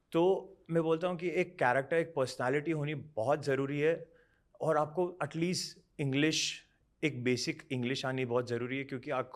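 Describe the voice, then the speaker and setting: In a very clean recording with a silent background, a man uses an ordinary speaking voice with ordinary pitch variation. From Bangalore, India (Rajasthani family). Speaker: model and actor. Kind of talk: interview. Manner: Hindi-English code-switching.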